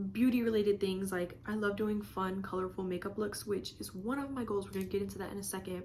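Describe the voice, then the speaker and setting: A woman's voice comes through. It is somewhat breathy. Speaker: lifestyle and beauty vlogger. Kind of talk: casual vlog talk to camera. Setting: bedroom. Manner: fast; animated.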